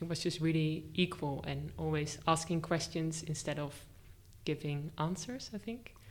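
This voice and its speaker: Vocal fry marks a woman's very deep, low pitch as she talks at a moderate pace with ordinary pitch variation. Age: 20s. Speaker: art teacher trainee. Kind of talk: casual interview. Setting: studio, face to face.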